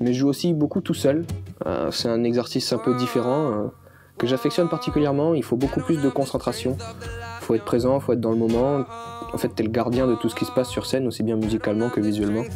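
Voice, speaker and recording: Music sounds in the background. A man with a medium-pitched voice talks at a very fast pace. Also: ordinary pitch variation. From New Caledonia. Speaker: folk musician. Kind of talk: interview answer.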